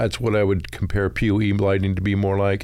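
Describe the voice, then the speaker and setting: With audible room echo, a man speaks in a fairly low voice with an American accent at a moderate pace. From Utah. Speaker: low-voltage contractor and electrical instructor. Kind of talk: casual interview.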